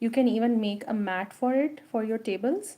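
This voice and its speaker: A somewhat breathy woman with a dark, mellow tone speaks at a moderate pace. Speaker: crochet instructor. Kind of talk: tutorial. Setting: live stream.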